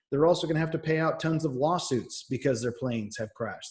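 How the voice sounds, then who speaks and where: This man has an American accent and a fairly high, somewhat breathy voice. His pitch varies in an ordinary way. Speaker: teacher. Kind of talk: recorded lecture. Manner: fast.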